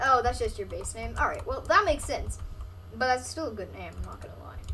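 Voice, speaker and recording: Fairly quick speech from a woman, set in audible room echo. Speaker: gaming streamer. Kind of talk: live gameplay stream commentary. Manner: fast; casual, filler-heavy.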